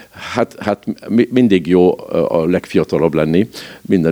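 With a very deep, low pitch and a dark, mellow tone, a man talks at a fairly slow pace. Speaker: royal family member. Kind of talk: interview. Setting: at his home. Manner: halting, frequent repetitions.

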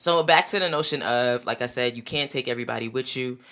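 A woman's very deep, low voice at a moderate pace, with ordinary pitch variation on a very clean recording with a silent background. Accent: New York. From New York. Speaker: podcast host. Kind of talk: solo podcast monologue. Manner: loud; animated.

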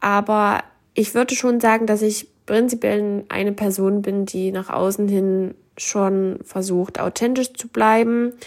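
With monotone, flat intonation, a woman talks at a very slow pace and a medium pitch. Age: 20s. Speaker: podcaster. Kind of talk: personal monologue.

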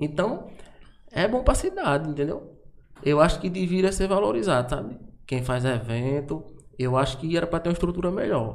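A man speaks at a moderate pace with a fairly high pitch and lively intonation. Audible room echo is heard. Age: 30s. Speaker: event producer. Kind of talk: casual chat.

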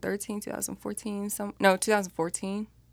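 A woman speaks with an American accent. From Texas, San Antonio and Wichita, Kansas. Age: 20s. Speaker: rapper and actress. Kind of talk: casual interview chat.

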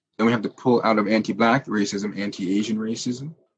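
A man with a Canadian accent has an unremarkable speaking voice at a medium pitch. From Ontario, Canada (Jamaican parents). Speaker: antiracism and cultural literacy educator. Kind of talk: interview.

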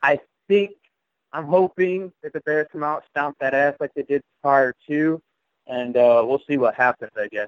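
A man talks at a moderate pace in a plain, everyday voice, fairly high in pitch with ordinary variation. The sound is dry and close, with no echo. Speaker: fantasy football league member. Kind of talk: casual chat.

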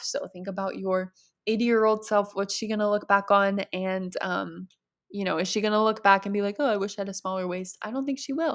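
A woman talks at a fairly quick pace with medium pitch and ordinary pitch variation in an unremarkable speaking voice. The recording is very clean, with a silent background. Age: 20s. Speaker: podcast host, eating disorder recovery. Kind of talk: solo Q&A monologue. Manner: casual, chatty with laughter.

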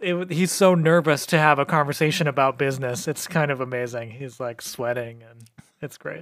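An unremarkable speaking voice, a man's with a fairly high pitch, keeps a moderate pace with ordinary pitch variation and big swings in loudness. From New Mexico, US. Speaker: podcast co-host. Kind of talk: casual chat.

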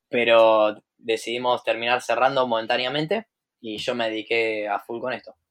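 Over a quiet background, a man in a Rioplatense accent speaks with a medium pitch and flat, monotone intonation. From Buenos Aires, Argentina. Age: 20s. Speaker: trader and entrepreneur. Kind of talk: casual interview.

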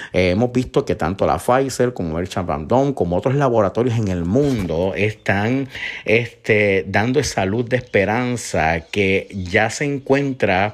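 A man with a Puerto Rican accent, fairly low in pitch, at a fairly slow pace with ordinary pitch variation. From Puerto Rico, Isabela. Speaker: podcast host. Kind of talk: solo news commentary.

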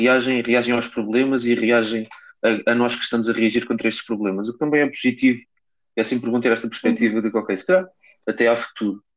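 A man with a medium pitch speaks at a very fast pace, keeping his intonation fairly even. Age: 20s. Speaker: political science student, party member. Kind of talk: casual chat.

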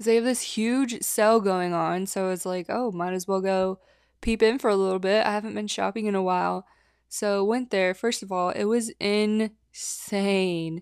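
A woman's ordinary speaking voice at medium pitch, moderate pace and fairly even intonation. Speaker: podcast host. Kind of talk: casual solo chat. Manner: casual, chatty.

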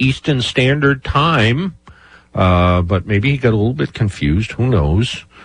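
Somewhat breathy, a man speaks with lively intonation. His pace is moderate. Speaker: radio host. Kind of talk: casual radio talk show. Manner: chatty, rambling.

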